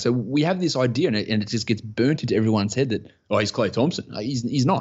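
A man with an Australian accent and a medium-pitched voice talks at a fairly quick pace. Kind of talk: casual interview chat. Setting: remote call.

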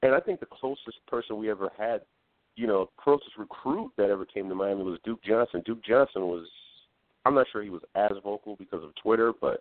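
Using an unremarkable speaking voice, a man talks at a fairly quick pace and a fairly low pitch. His pitch variation is ordinary. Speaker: caller, football fan. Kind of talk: call-in sports talk. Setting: phone call. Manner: excitable.

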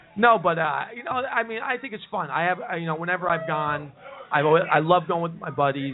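Amid noticeable background noise, a man with a high pitch talks at a fairly quick pace with lively intonation. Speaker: live show host. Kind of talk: live comedy talk show banter. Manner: joking, rambling, animated.

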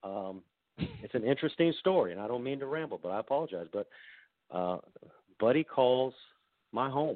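A man with a Southern US accent talks at a moderate pace with lively intonation. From US South. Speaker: football coach. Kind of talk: interview. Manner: halting.

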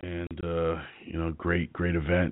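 A man with a very deep, low pitch. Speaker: radio show host and arm wrestler. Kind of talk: casual podcast talk. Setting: internet radio show. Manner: hesitant, many fillers.

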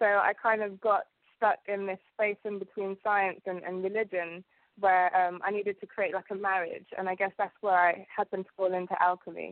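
Speaking in a British accent at a moderate pace, a woman keeps her medium pitch in monotone, flat intonation. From UK, Ugandan family. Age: 20s. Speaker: alchemist and TV presenter. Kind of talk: interview.

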